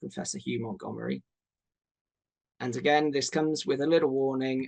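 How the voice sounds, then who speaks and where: The sound is dry and close with no echo as a man talks with a British accent. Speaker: doctor hosting a launch webinar. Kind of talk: webinar presentation. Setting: online webinar. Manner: casual with many fillers.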